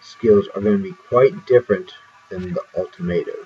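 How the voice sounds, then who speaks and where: Music plays in the background as a man with medium pitch talks at a moderate pace. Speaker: video game streamer. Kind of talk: gameplay commentary.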